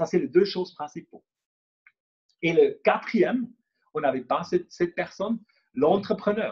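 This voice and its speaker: This man has a Swiss German accent and a high pitch. He speaks at a fairly slow pace. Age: 40s. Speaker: entrepreneur and speaker. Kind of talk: workshop presentation. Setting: conference room with live and online audience. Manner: halting, many fillers and repetitions.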